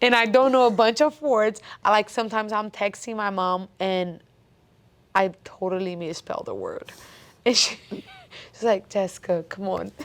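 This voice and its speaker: Woman in a Portuguese accent, fairly high pitch, ordinary pitch variation, moderate pace and long, frequent pauses. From Brazil. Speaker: coach. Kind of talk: casual chat.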